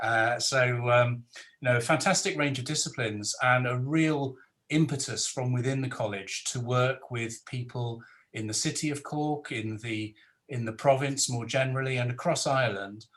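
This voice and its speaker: A man speaks with a Welsh accent. His pitch sits in the middle range. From South Wales. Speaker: professor and panel moderator. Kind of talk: webinar panel moderation. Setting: video call webinar.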